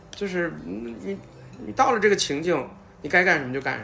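A man's fairly high voice with very wide pitch swings, a moderate pace and music in the background. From Northeast China, Changchun. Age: 50s. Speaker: podcast guest. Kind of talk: casual chat.

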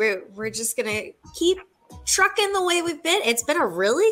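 Very wide pitch swings from a woman, with music in the background. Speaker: minor league baseball stadium announcer. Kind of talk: casual radio interview.

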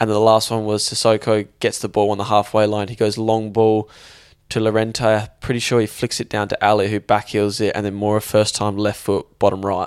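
A man's fairly low, monotone voice with flat intonation at a fairly quick pace, on a very clean recording with a silent background. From England. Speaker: sports podcast co-host. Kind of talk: casual chat.

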